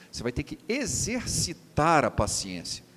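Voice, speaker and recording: A man is speaking. His voice has vocal fry. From Rio de Janeiro, Brazil. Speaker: preacher. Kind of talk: sermon.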